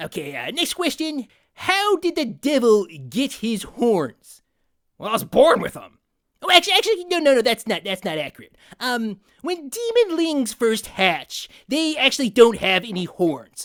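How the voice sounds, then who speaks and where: A put-on character voice, fairly high in pitch, moves at a moderate pace with very wide pitch swings. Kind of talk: comedy parody interview. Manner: casual, rambling.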